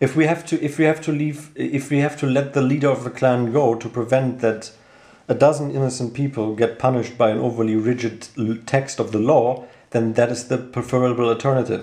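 Man with a German accent, medium pitch, dark, mellow tone, fairly even intonation and fairly quick pace. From Germany, Cologne. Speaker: host's brother. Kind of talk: casual discussion. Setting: home living room.

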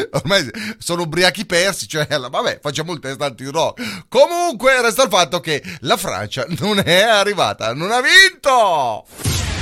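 The voice is bright and sharp, animated in tone, moving at a moderate pace with very wide pitch swings. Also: man, high pitch for a man. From Italy. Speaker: radio host. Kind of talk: casual radio talk.

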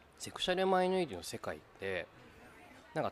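This man speaks. His pace is very fast. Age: 30s. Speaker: podcast host. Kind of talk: casual chat.

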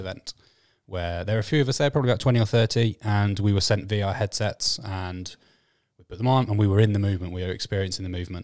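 On a very clean recording with a silent background, a normal speaking voice shows ordinary pitch variation. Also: man. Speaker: podcast contributor, watch enthusiast. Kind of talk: casual chat.

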